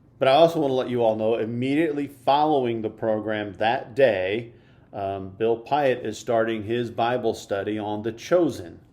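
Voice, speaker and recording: With an American accent, a man speaks at a medium pitch with a dark, mellow tone and ordinary pitch variation. His pace is moderate, and the room echo is audible. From US Midwest. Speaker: church podcast host. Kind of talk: church announcements; casual interview chat.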